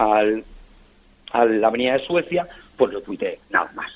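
A man is speaking. His pace is moderate. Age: 50s. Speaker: football fan and collector. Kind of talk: radio interview.

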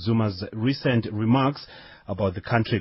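Somewhat breathy male speech, fairly quick, with ordinary pitch variation. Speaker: radio news presenter. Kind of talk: radio news show. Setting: studio.

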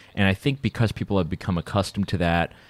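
A man with an American accent and a very deep, low pitch, in a dry, close sound with no echo. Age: 30s. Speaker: radio host. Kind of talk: casual chat. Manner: animated.

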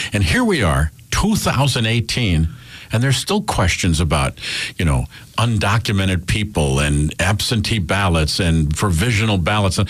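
A man with an American accent and a very deep, low pitch, fairly slow pace, lively intonation and very even loudness, over noticeable background noise. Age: 60s. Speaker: radio host. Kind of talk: casual chat. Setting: studio.

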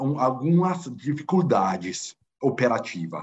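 Speaking at a very slow pace, a man with an Italian accent keeps to a medium pitch. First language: Italian (speaking Portuguese). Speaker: football club finance director. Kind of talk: interview. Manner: halting, many fillers.

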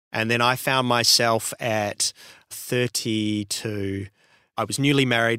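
A man speaks with a New Zealand accent in a bright, sharp tone, on a very clean recording with a silent background. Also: dry, close sound with no echo. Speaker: radio imaging producer. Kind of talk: interview.

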